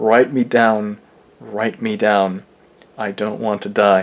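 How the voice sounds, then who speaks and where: At a very slow pace, a man speaks in a fairly low pitch. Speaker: dialect enthusiast. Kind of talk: poetry reading. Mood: earnest, solemn. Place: home room. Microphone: webcam.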